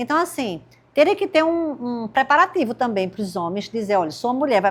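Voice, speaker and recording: Very clean recording with a silent background, featuring a woman with an ordinary speaking voice, lively intonation, and a fairly quick pace. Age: 60s. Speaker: podcast host. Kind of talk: interview podcast.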